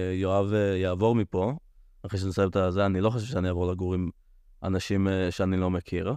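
A man's very deep, dark and mellow voice, very fast yet with long, frequent pauses, over a quiet background. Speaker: podcast host. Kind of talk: casual chat.

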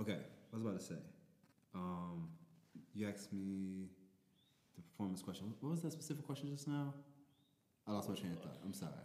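With a dark, mellow tone and fairly low pitch, a man races at a very fast pace with lively intonation and long, frequent pauses, all in audible room echo. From New Orleans. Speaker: DJ and rapper. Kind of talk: casual chat.

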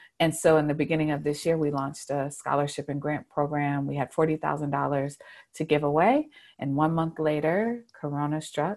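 A woman's very deep, low voice with an American accent, fairly quick and fairly even in intonation, on a very clean recording with a silent background. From Charlotte, North Carolina. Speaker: community advocate. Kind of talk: interview.

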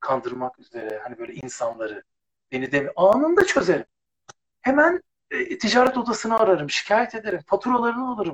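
A man speaks at a fairly quick pace with big swings in loudness, in a dry, close sound with no echo. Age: 50s. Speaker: former TV presenter. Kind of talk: casual chat.

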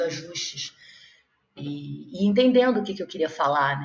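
Here is a woman with an ordinary speaking voice, pitched fairly low. She talks at a moderate pace with ordinary pitch variation. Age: 30s. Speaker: actress and playwright. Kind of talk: interview. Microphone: audio noise from technical problems.

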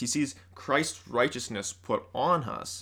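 Using a bright, sharp tone with vocal fry, a man with an American accent and a fairly high pitch speaks at a very slow pace with lively intonation. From US Midwest (central Illinois). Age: 20s. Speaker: college student. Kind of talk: casual chat.

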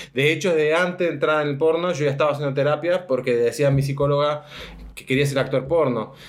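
A man speaks very fast at a fairly high pitch with fairly even intonation. There is noticeable background noise. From Argentina, Mendoza. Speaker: adult film actor. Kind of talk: interview answers.

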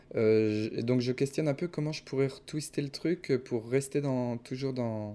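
Recorded very cleanly with a silent background, a man with a dark, mellow tone speaks at medium pitch, with ordinary pitch variation and a fairly slow pace. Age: 30s. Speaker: YouTube adventure filmmaker. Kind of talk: casual interview. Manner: halting.

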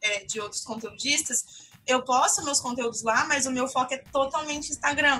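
A woman's high-pitched voice is raised and projected, with a bright, sharp tone. She keeps a moderate pace and ordinary pitch variation. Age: 20s. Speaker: journalist and content creator. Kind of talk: casual interview chat.

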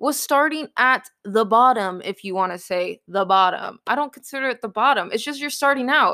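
A woman speaks in a raised, projected voice. Her intonation is lively. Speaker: podcast host and real estate entrepreneur. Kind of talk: pep talk. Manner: earnest, emphatic, motivational; excited, upbeat.

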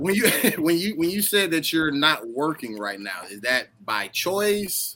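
Through noticeable background noise, a man with a fairly high pitch speaks at a fairly slow pace, with very wide pitch swings and big swings in loudness. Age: 30s. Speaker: podcast host. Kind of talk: casual chat.

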